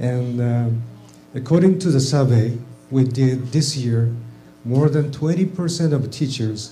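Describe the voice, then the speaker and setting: Against music in the background and audible room echo, a man with a Japanese accent speaks at medium pitch. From Japan, Tokyo. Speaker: teacher trainer, audience questioner. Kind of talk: audience question. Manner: halting.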